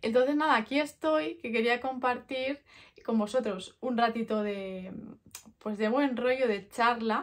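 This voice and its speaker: A high-pitched woman's voice at a fairly slow pace, ordinary pitch variation, quiet background. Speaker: product vlogger. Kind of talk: casual vlog chat. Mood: relaxed, friendly, reflective. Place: home room.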